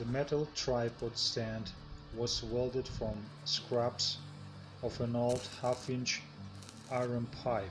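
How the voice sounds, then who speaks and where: Music plays behind a man with a medium pitch and fairly even intonation. He talks very slowly, with long, frequent pauses. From Bulgarian background, Transnistria. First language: Russian or Bulgarian. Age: 40s. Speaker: homesteading farmer, video creator. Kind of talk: tutorial.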